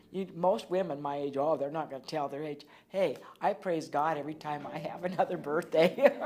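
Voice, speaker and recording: A woman with a very deep, low pitch speaks at a fairly quick pace, showing ordinary pitch variation and big swings in loudness. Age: 60s. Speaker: cancer survivor, former state legislator. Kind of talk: personal testimony interview.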